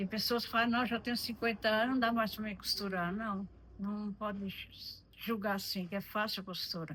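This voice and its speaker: A woman speaks in a fairly high pitch with a bright, sharp tone. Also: moderate pace. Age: 70s. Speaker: retired seamstress, host's mother. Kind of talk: testimony. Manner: halting.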